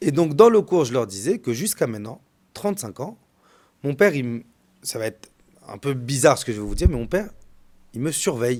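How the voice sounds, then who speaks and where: A fairly quick pace broken by long, frequent pauses, with very wide pitch swings and big swings in loudness, in a very clean recording over a silent background. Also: man, medium pitch for a man. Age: 30s. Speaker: rabbi. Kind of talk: storytelling. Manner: repetitive, stammering.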